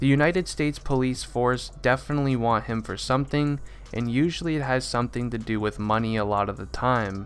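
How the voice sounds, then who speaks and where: At a fairly quick pace, a man talks at a medium pitch in an unremarkable speaking voice. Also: ordinary pitch variation. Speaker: commentary YouTuber. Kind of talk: casual talk to camera.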